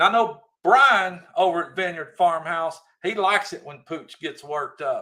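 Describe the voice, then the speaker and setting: Bright and sharp in tone, a man's high-pitched voice moves at a moderate pace with ordinary pitch variation. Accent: Southern US. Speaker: livestream host. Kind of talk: casual live chat reading comments. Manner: animated, raised voice.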